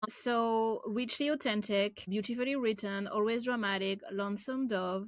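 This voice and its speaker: Her French accent comes through as this woman speaks at a moderate pace with ordinary pitch variation. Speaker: booktuber. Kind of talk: casual vlog with blurb reading.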